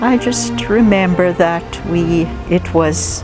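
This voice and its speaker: A woman talks very slowly while noticeable background noise sits behind her. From Jamaica. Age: 70s. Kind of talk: life story interview answer.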